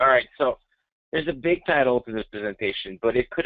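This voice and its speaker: In a French-Canadian accent, a man speaks with ordinary pitch variation against a quiet background. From Quebec, Montreal. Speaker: software technical specialist; presenter. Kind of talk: webinar presentation. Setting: online webinar. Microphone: webcam.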